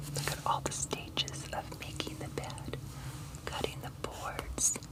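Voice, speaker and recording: A woman whispers at a fairly slow pace while noticeable background noise carries on. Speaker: storyteller reading to grandchildren. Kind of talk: children's picture book read-aloud. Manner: soft-spoken.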